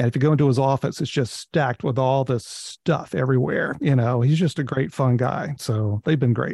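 With an American accent, a man speaks fairly quickly in a somewhat breathy, medium-pitched voice with a dark, mellow tone, fairly even intonation and very even loudness. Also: dry, close sound with no echo. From North Carolina. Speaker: photographer and book author. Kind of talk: interview. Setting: remote call.

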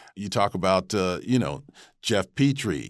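In a very clean recording with a silent background, a man speaks at a fairly slow pace in a fairly low pitch, with lively intonation and vocal fry. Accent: American. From Rochester, New York. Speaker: TV news anchor. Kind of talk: interview.

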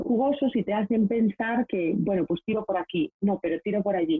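A woman with a normal speaking voice talks at a moderate pace, her pitch medium and its variation ordinary. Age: 30s. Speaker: professional organizer. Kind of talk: interview conversation. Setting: video call.

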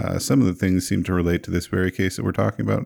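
The recording is very clean, with a silent background. The sound is dry and close with no echo, and the tone is dark and mellow. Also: man. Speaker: tabletop role-play player. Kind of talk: tabletop role-play session.

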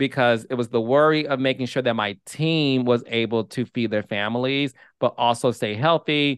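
In a medium pitch and with an American accent, a man speaks at a fairly slow pace. The sound is dry and close with no echo, over a quiet background. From Detroit, Michigan. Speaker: TV producer and host. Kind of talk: interview. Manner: animated.

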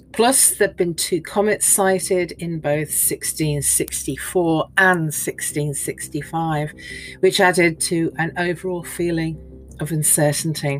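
A woman speaks at a very slow pace with a fairly low pitch and fairly even intonation. Music plays in the background. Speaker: podcast host and archaeology narrator. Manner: vivid, graphic storytelling; measured and evocative, lingering on grisly details.

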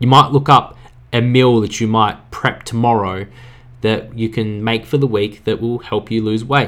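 This is a man's voice at medium pitch. It is an unremarkable speaking voice. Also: moderate pace. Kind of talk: pep talk. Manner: earnest, direct, urging listeners to act now; casual, conversational, upbeat.

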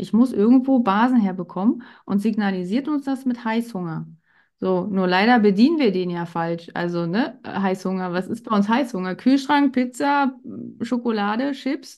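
Against a quiet background, a woman speaks with fairly high pitch. Her pace is moderate and her pitch varies in an ordinary way. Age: 40s. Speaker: pharmacy technician and women's health coach. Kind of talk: interview. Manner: hesitant filler words.

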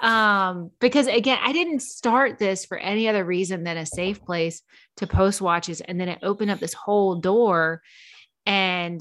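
Her voice is an unremarkable speaking voice, fairly low in pitch for a woman, with ordinary pitch variation. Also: quiet background. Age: 40s. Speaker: watch content creator. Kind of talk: casual chat.

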